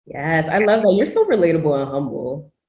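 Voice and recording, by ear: A woman talks at a fairly quick pace with lively intonation, her low-pitched voice dark and mellow in tone, and audible room echo surrounds it.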